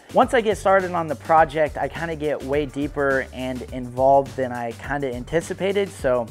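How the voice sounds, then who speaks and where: A man speaks at a moderate pace with faint music in the background. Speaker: channel host. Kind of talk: casual vlog chat. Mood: excited, playful. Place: garage. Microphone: lapel.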